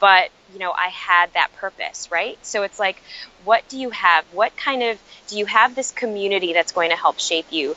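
A woman with an American accent, a normal speaking voice at medium pitch, at a moderate pace. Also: ordinary pitch variation. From US Midwest, Chicago. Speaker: author and emotional intelligence educator. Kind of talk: podcast interview. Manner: frequent fillers like um and you know.

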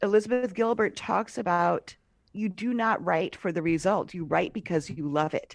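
A woman with an ordinary speaking voice and an American accent talks at a moderate pace and medium pitch with ordinary pitch variation against a quiet background. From US Northeast (Cambridge, Massachusetts). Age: 50s. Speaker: podcast host and writer. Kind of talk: casual interview. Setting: remote call.

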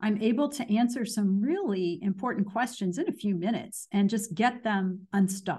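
With an American accent, a woman speaks at a moderate pace and medium pitch in a dark, mellow, somewhat breathy tone, with ordinary pitch variation and hardly any pauses. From US Midwest, Danville, Illinois. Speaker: marketing expert. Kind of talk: interview.

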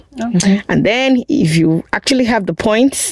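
A woman with a Nigerian accent speaks with lively intonation over noticeable background noise. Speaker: guest on immigration topics. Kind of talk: casual chat.

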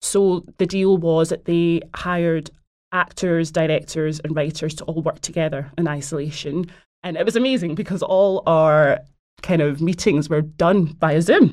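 Fairly even intonation in a Glaswegian accent. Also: woman, fairly low pitch for a woman, moderate pace. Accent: Glaswegian Scottish. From Scotland, Glasgow. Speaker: actor and producer. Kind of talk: casual interview.

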